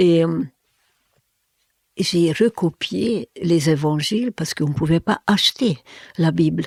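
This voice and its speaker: Recorded dry and close with no echo, a woman talks very slowly at a fairly low pitch, her intonation lively and her speech marked by long, frequent pauses. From Hungary. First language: Hungarian (speaking French). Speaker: therapist and former linguist. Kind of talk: interview. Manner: halting, with many fillers and repetitions.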